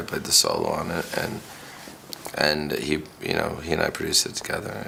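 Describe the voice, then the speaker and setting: A man talks at an even, middling speed. Clear background noise can be heard behind him. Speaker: rock musician. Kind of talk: interview answer.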